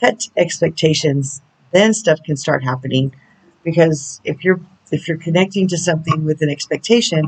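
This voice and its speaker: A woman with a very deep, low pitch, somewhat breathy, with ordinary pitch variation at a moderate pace. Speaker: spiritual counselor and oracle reader. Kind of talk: oracle channeling video. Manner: casual, chatty.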